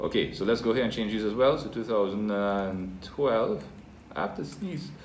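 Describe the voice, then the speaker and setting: Audible room echo surrounds a man speaking at a moderate pace in a fairly low voice with lively intonation. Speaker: teacher. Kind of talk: tutorial.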